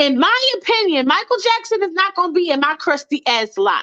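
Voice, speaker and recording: A woman with extremely high pitch uses a raised, projected voice at a moderate pace. Her tone is bright, sharp, animated and passionate, with very wide pitch swings. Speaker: livestream host. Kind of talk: casual live stream chat. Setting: live stream with callers. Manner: animated, passionate.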